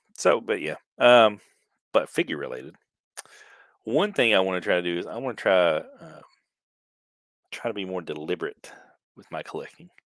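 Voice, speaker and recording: Talking at a fairly quick clip, a man leaves long, frequent pauses while his loudness swings widely. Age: 40s. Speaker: podcast host, action figure collector. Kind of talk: casual chat.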